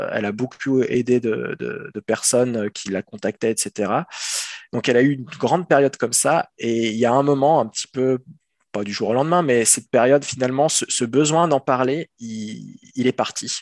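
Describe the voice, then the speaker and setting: Dry, close sound with no echo around a man talking at a moderate pace, his pitch variation ordinary. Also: medium pitch for a man. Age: 30s. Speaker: father sharing experience of partner's depression. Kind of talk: testimony. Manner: halting.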